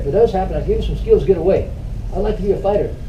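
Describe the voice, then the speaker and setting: A man rushes along at a very fast pace, with audible room echo and noticeable background noise behind him. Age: 70s. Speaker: martial arts master. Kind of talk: interview. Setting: martial arts school. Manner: casual, repetitive fillers.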